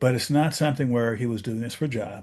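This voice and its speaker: A man speaks with a normal speaking voice at medium pitch and ordinary pitch variation. His pace is fairly quick, over a quiet background. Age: 60s. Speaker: aviation safety podcast host. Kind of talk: casual discussion.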